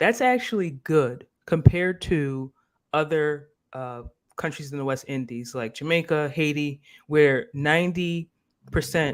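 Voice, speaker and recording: This man speaks in an ordinary speaking voice with an American accent, fairly high in pitch and with ordinary pitch variation. His pace is fairly slow, and the recording is very clean with a silent background. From US Northeast, Philadelphia. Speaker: live stream host. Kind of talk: casual live stream discussion.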